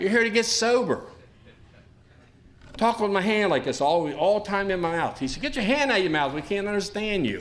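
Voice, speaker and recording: A man's high-pitched voice with lively intonation, at a fairly quick pace yet with long, frequent pauses, amid noticeable background noise and audible room echo. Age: 60s. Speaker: recovery speaker. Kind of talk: testimony. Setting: stage with audience. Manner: fast.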